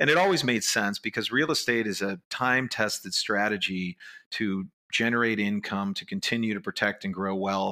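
Bright and sharp in tone, a man's fairly low voice with an American accent moves at a moderate pace with ordinary pitch variation. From Chicago, Illinois. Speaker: real estate investment firm co-founder. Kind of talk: interview. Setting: office.

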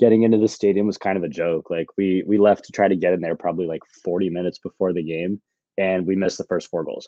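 With fairly even intonation, a man speaks at a very deep, low pitch. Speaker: sports betting analyst. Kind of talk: casual sports betting discussion.

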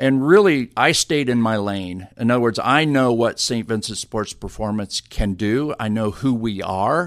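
In a plain, everyday voice, a man speaks at medium pitch with ordinary pitch variation and hardly any pauses, in a very clean recording with a silent background. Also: fairly slow pace. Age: 50s. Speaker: sports medicine director. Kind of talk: interview. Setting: office.

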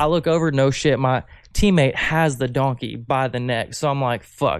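A man with an American accent speaks at a medium pitch with ordinary pitch variation, with music in the background. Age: 20s. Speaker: podcast guest. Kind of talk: casual chat.

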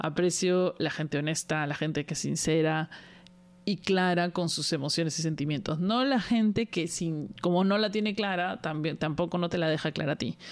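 Using a normal speaking voice, a woman talks at a moderate pace with fairly low pitch, ordinary pitch variation and very even loudness. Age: 40s. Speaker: podcast host. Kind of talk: casual monologue.

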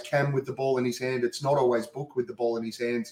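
A man with an Australian accent, medium in pitch, with fairly even intonation. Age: 40s. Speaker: sports podcaster. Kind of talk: casual chat. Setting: video call.

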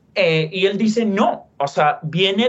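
Speaking very slowly, a man talks in an English accent. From US West (Utah, California). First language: English (speaking Spanish). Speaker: literature professor and author. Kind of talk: interview. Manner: halting, many repetitions and fillers.

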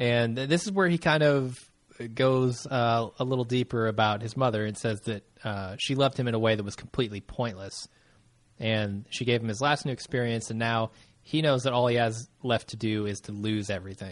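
This man has an ordinary speaking voice and keeps a fairly quick pace. He sits at a medium pitch and varies it in an ordinary way. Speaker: podcast host. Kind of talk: casual recap chat. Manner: chatty, laughs often.

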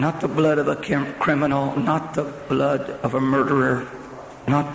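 Solemn in tone, a man with a fairly high pitch speaks at a fairly slow pace with fairly even intonation amid noticeable background noise. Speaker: preacher. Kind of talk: sermon. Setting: church with live congregation. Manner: fervent, call-and-response preaching that urges the congregation to say amen; solemn and urgent, with pleading altar-call tone.

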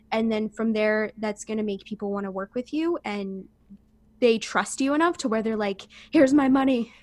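With an unremarkable speaking voice, a woman talks at a fairly high pitch and a moderate pace, her pitch varying in an ordinary way, on a very clean recording with a silent background. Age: 20s. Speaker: holistic coach and yoga teacher. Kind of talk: casual interview.

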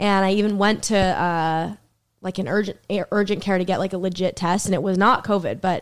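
A woman's normal speaking voice in an American accent, medium in pitch with fairly even intonation, on a very clean recording with a silent background. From Boston area, US. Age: 20s. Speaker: comedian. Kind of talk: casual chat.

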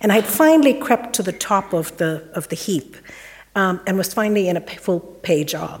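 With noticeable background noise in the recording, a woman talks at a moderate pace. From India. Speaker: virologist. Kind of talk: panel talk. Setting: stage with audience.

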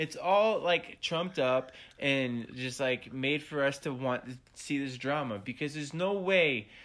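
A man with a fairly high pitch and an animated tone talks at a fairly slow pace with hardly any pauses and ordinary pitch variation. The recording is very clean with a silent background. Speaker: podcast co-host. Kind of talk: casual chat. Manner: animated, laughs and swears a lot.

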